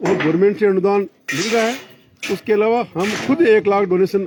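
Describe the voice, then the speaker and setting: A man's voice, high-pitched for a man, with ordinary pitch variation. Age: 70s. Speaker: retired army officer and cow shelter caretaker. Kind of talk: interview.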